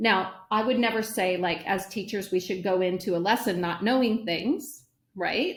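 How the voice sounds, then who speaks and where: In a very clean recording with a silent background, a woman speaks in a somewhat breathy voice. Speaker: educator, former principal. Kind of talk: interview conversation.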